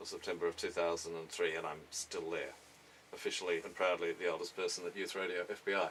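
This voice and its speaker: A man in an Australian accent. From Tasmania, Australia. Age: 50s. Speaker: radio presenter and music journalist. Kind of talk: interview. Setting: radio studio.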